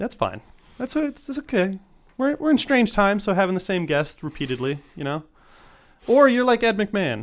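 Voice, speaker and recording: Pitch swings very widely in this moderately paced voice with an American accent. Long, frequent pauses break it up, and the recording is very clean with a silent background. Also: man, high pitch for a man. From Texas. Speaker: podcast host. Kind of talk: casual chat; show outro.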